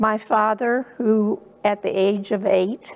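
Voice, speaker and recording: A woman with fairly even intonation. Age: 80s+. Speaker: church member. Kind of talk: testimony. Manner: hesitant, with fillers.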